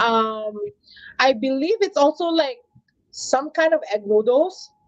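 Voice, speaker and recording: A woman with a Filipino accent at a fairly slow pace, high in pitch with very wide pitch swings. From Philippines, Manila. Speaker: LGBTQ advocate. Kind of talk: casual interview.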